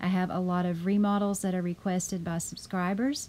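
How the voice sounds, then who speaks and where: Her tone is dark and mellow. The woman speaks at a fairly quick pace. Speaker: video game builder, YouTuber. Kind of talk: tutorial home tour narration. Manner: casual, friendly.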